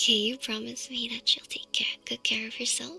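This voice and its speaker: Someone is whispering. Music plays in the background. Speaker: VTuber ASMR streamer. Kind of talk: ASMR sleep talk. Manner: whispered, soft.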